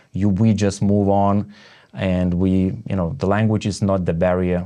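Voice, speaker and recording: A man with a Lithuanian accent talks in a very deep, low voice. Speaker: network marketing entrepreneur and podcast host. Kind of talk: casual interview chat. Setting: home studio. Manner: halting, many fillers and restarts.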